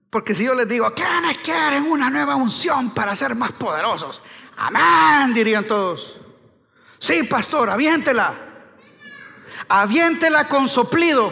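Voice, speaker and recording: The voice is raised and projected, with very wide pitch swings. It moves at a fairly slow pace. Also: man, extremely high pitch for a man. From Honduras. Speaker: pastor. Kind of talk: sermon. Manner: animated. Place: church. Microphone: headset.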